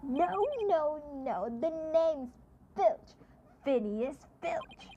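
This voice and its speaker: A woman's put-on character voice, high in pitch and at a very slow pace. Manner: indignant, correcting.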